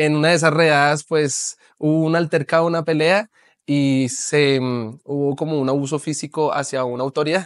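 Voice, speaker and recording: Against a quiet background, a man speaks at a moderate pace with a fairly high pitch, fairly even intonation, and a dry sound with no echo. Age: 30s. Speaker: pastor and author; pastor. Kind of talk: interview testimony. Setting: TV studio. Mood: earnest personal testimony. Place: studio.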